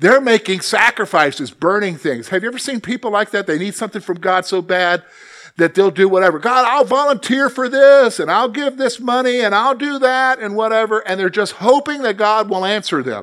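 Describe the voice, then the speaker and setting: A man with a high pitch, lively intonation and a fairly quick pace, with hardly any pauses. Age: 50s. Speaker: Bible teacher. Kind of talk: Bible study lesson. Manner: conversational, with frequent okay and all right.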